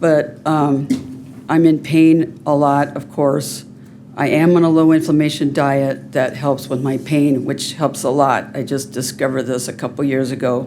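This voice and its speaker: Here a woman speaks with a very deep, low pitch at a fairly slow pace. Her intonation is monotone and flat, with audible room echo. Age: 60s. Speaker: public commenter. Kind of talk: public comment.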